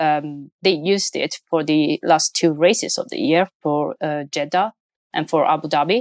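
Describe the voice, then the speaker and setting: A woman's very deep, low voice with an Italian accent, at a moderate pace and ordinary pitch variation, dry and close with no echo. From Italy. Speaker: motorsport opinion columnist. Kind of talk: casual chat.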